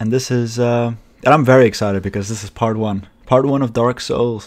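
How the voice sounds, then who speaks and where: A man's medium-pitched voice moves along fairly quickly, its intonation staying fairly even. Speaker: gaming commentator. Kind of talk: gameplay commentary. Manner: monotone; halting.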